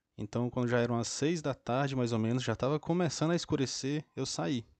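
This is an unremarkable speaking voice from a man. He talks at a moderate pace with ordinary pitch variation. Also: very even loudness. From Brazil, interior of Ceará (Northeast). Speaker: podcast host and book club reader. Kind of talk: book summary and personal anecdotes, solo podcast.

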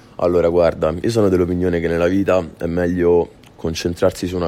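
With noticeable background noise, a man with a Roman accent speaks very fast in a very deep, low voice with monotone, flat intonation. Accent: Roman Italian. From Rome, Italy. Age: 20s. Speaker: rapper. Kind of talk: radio interview.

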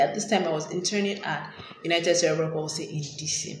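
A woman with a fairly low pitch is heard with audible room echo and noticeable background noise. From Nigeria. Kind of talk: interview conversation.

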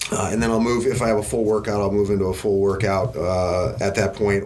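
With noticeable background noise and audible room echo, a man speaks in a fairly low voice. He has an American accent and fairly even intonation. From US Midwest, Wisconsin. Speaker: business executive. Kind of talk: interview. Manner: hesitant, many fillers.

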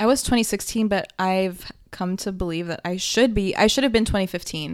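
In a very clean recording with a silent background, a woman with an unremarkable speaking voice talks at a fairly quick pace, her medium pitch held in fairly even intonation. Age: 20s. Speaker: podcast co-host. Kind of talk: casual chat. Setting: home office.

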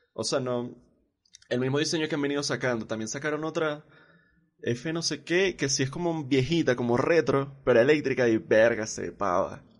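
At a moderate pace, a man with a fairly high pitch speaks in a normal speaking voice, with ordinary pitch variation. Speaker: podcast host. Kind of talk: casual chat.

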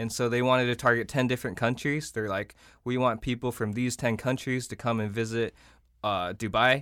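On a very clean recording with a silent background, a man with a plain, everyday voice speaks at medium pitch and a fairly quick pace with fairly even intonation. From South Korea, raised in Iowa. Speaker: social media company founder. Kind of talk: interview discussion.

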